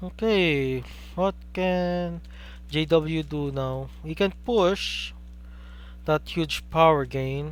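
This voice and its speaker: A man in a Filipino accent, at a very slow pace with long, frequent pauses. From Philippines. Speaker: game commentator. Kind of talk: live commentary. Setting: live stream.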